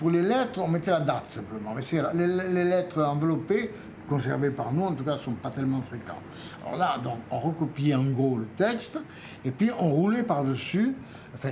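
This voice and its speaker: A man with a fairly high pitch and lively intonation speaks over noticeable background noise. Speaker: epigraphist, historian of Mesopotamia; storyteller. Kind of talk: documentary interview, explaining museum objects. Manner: warm, enthusiastic.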